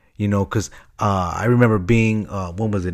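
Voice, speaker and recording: A man with an American accent and a fairly low pitch speaks with fairly even intonation on a very clean recording with a silent background. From Chicago. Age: 30s. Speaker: podcast host. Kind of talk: casual solo podcast monologue. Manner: halting, many fillers and repeats.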